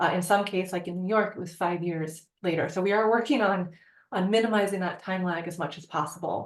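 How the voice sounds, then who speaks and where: Fairly quick in pace, a woman speaks at medium pitch. Her intonation stays fairly even. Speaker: research professor. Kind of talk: lecture. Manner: fast.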